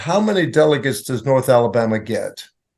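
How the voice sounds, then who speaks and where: A man talks in an unremarkable speaking voice at a medium pitch. His pace is moderate. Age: 60s. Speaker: bishop. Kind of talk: interview. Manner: measured, explanatory.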